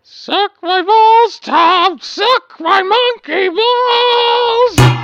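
A put-on character voice at an extremely high pitch drags along at a very slow pace. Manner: crude, rude, heckling.

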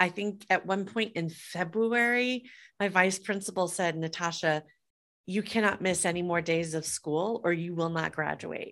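Fairly slow, fairly even speech in a plain, everyday voice with an American accent, on a very clean recording with a silent background. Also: woman. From US Midwest, Des Moines, Iowa. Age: 50s. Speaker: entrepreneur and author. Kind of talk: interview.

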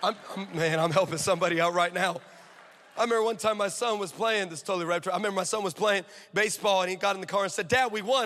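This man speaks very fast in an American accent, his voice pitched high. His tone is animated, with ordinary pitch variation. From California. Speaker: traveling preacher and missionary. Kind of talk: sermon. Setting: church with live audience.

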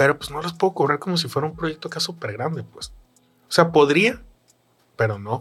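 A man with a fairly high voice and vocal fry talks at a fairly quick clip, his intonation lively and his loudness swinging widely, broken by long, frequent pauses. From Mexico, Sinaloa coast (Los Mochis). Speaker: illustrator. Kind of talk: casual chat.

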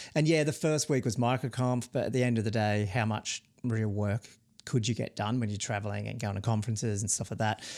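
A man speaks with an Australian accent at a medium pitch and a fairly quick pace, with ordinary pitch variation. The recording is very clean, with a silent background. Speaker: podcast co-host, software founder. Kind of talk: casual chat. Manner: fast.

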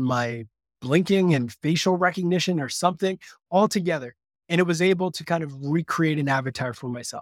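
A man with a slight Canadian accent and a fairly high pitch, heard in a dry, close sound with no echo, on a very clean recording with a silent background. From Canada. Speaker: marketing agency CEO. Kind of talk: interview conversation.

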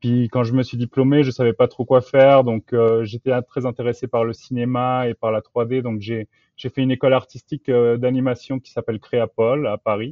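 A man with a medium pitch speaks in a monotone, flat intonation. His pace is moderate, with hardly any pauses. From France, childhood abroad in Latin America. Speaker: software engineer. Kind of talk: interview.

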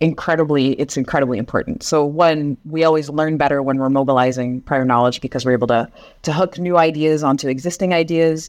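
Her voice has a Pacific Northwest accent and ordinary pitch variation. This woman's pitch is very deep and low. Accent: Pacific Northwest American. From US Northwest, Seattle. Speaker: education and curriculum expert. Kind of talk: interview. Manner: halting, many fillers.

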